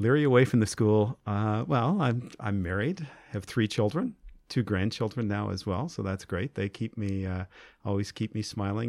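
The man speaks with an Ontario accent and a fairly low pitch. He takes a moderate pace, and his pitch varies an ordinary amount. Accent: Canadian (Ontario). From rural Ontario, Canada. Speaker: school principals' association president. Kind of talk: interview.

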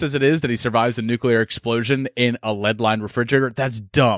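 Recorded very cleanly against a silent background, with a dry, close sound and no echo, a man with an American accent speaks at a very fast pace with ordinary pitch variation. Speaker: film podcaster. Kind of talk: casual chat.

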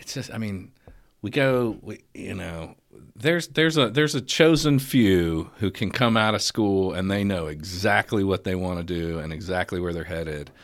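A man speaks in an ordinary speaking voice at a fairly low pitch and a moderate pace, with lively intonation and big swings in loudness, on a very clean recording with a silent background. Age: 40s. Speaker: podcast host. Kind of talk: casual chat.

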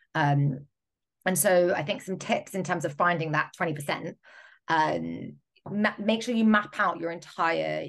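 Talking at a moderate pace, a woman speaks with a British accent. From Britain. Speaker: digital product and marketing specialist. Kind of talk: interview.

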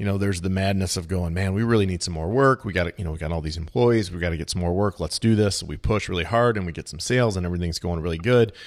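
A man with a very deep, low voice talks at a very fast pace with ordinary pitch variation and hardly any pauses, in a very clean recording with a silent background. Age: 40s. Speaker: podcast host. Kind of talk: interview.

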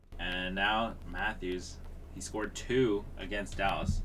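A man talks at a fairly slow pace with monotone, flat intonation. There is audible room echo. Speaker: hockey podcast co-host. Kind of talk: casual chat. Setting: recorded in person together.

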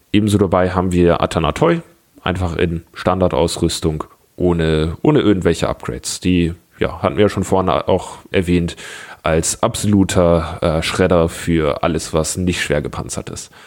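A man talks at a moderate pace with a very deep, low voice. His intonation stays fairly even. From Bavaria, Germany (Augsburg). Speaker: tabletop gaming community organizer. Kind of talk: casual podcast chat.

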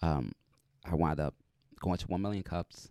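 With an American accent, a man's very deep, low pitch carries a dark, mellow tone and vocal fry, heard with a dry, close sound with no echo. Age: 30s. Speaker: podcast host, deaf motivational speaker. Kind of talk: interview.

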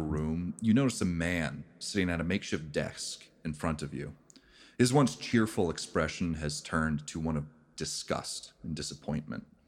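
A man with a very deep, low pitch and ordinary pitch variation is heard on a very clean recording with a silent background. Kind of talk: ghost story telling (tabletop game master narrating a dream). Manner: slow, hushed, atmospheric scene-setting.

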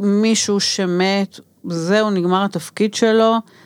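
A woman talks in a normal speaking voice at medium pitch. Her intonation is fairly even, and the recording is very clean with a silent background. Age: 60s. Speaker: doula and anthropologist. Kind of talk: interview. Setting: studio.

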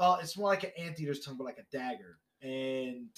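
Speaking at a moderate pace with an American accent, a man uses lively intonation at a fairly high pitch. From Brooklyn, New York. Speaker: podcast guest. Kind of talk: casual chat.

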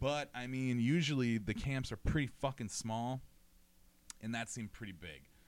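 A man speaks in an animated tone at a moderate pace. His pitch varies in an ordinary way. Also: medium pitch for a man. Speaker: podcast host. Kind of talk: casual chat.

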